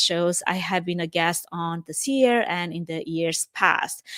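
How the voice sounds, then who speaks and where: A woman's medium-pitched voice at a moderate pace, with a Romanian accent. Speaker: podcast host, event production professional. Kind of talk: podcast monologue.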